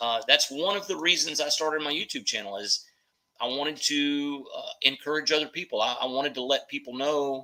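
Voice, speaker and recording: The voice moves at a moderate pace with a bright, sharp tone and ordinary pitch variation. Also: man. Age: 60s. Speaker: weight-loss YouTuber telling his story. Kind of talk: livestream interview.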